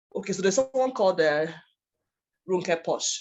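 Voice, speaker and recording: Fairly quick and fairly low for a woman, her voice shows ordinary pitch variation. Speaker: workshop presenter, author coach. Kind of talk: workshop lecture. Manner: fast.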